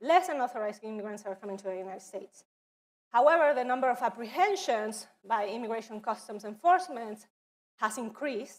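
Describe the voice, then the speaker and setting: Her fairly high voice races along at a very fast pace, as this woman uses lively intonation and big swings in loudness. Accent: non-native. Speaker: education office presenter. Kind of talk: training presentation.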